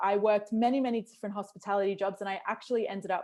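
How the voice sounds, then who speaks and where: Recorded very cleanly against a silent background, a woman speaks with an Australian accent at medium pitch and fairly even intonation. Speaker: customer experience consultant. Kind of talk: interview.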